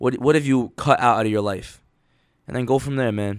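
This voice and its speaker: Very rapid male speech, mid-range in pitch with ordinary pitch variation, captured very cleanly against total silence. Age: 20s. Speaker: motivational podcaster. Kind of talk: motivational monologue. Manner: casual, filler-heavy.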